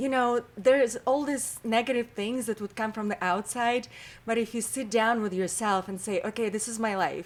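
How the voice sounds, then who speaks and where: A woman speaks with a strong Russian accent at a moderate pace. Her intonation is fairly even. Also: fairly high pitch for a woman. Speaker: model, actress and comedian. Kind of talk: interview conversation. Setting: podcast interview.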